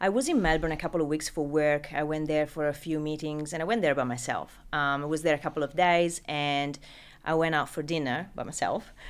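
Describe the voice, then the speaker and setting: Speaking at a fairly quick pace in an Italian accent, a woman with a very deep, low pitch is heard on a very clean recording with a silent background. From Italy. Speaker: recruitment business founder. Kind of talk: interview.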